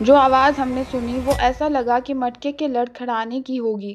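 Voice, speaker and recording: With music in the background, a woman at a high pitch speaks with fairly even intonation. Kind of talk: horror story narration.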